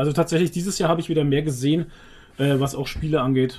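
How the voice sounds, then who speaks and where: Intonation holds fairly even here. There is a somewhat breathy quality to the voice. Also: man. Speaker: podcast co-host. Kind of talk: casual chat.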